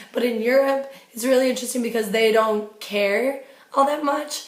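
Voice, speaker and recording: Speaking with an American accent at a moderate pace, a woman has a fairly high pitch and ordinary pitch variation, with audible room echo. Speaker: travel vlogger. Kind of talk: casual chat.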